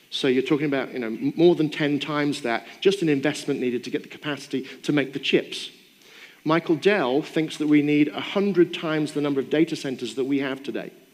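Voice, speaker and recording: In a strong British accent, the speaker talks at a fairly quick pace with ordinary pitch variation. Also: man, fairly high pitch for a man. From Britain. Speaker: AI expert and keynote speaker. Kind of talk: keynote Q&A answer. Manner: conversational with fillers.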